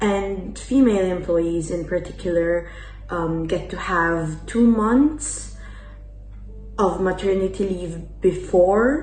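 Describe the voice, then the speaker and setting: A woman with an Italian accent at a very slow pace, amid audible room echo and noticeable background noise. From Italy. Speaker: exchange student. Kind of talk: interview answers. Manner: hesitant, many fillers.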